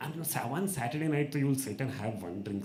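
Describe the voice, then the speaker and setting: A man with an Indian accent speaks at a fairly high pitch with lively intonation, with audible room echo and noticeable background noise. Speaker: open mic host and comedian. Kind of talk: stand-up storytelling. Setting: stage with audience. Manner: animated.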